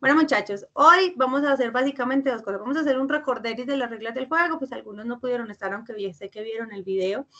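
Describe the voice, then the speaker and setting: A woman with a Paisa accent at a very fast pace, lively intonation and big swings in loudness. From Colombia, Antioquia (Fredonia). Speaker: university teacher. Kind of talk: online lecture. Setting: video call class.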